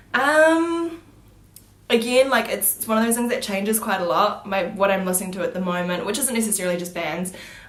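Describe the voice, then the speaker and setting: A woman with a New Zealand accent speaks at a fairly quick pace, her pitch in the medium range and her intonation lively. Noticeable background noise and audible room echo are present. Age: 20s. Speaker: beauty vlogger. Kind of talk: casual vlog Q&A. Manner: hesitant, many fillers.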